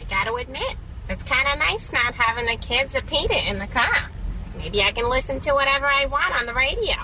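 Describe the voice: Someone does a high-pitched put-on character voice at a fairly quick pace against clear background noise.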